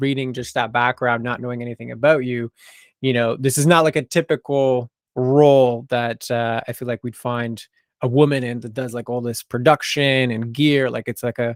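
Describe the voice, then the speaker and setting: A plain, everyday voice with an American accent talks at a moderate pace with fairly even intonation, in a dry, close sound with no echo on a very clean recording with a silent background. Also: man. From US, Idaho. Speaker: podcast host. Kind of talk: casual interview.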